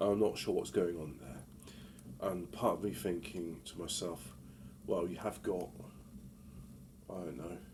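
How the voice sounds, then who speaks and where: This man's very deep, low voice carries vocal fry and ordinary pitch variation, with big swings in loudness. He talks at a fairly slow pace with long, frequent pauses. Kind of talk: casual talk to camera. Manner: hesitant, rambling.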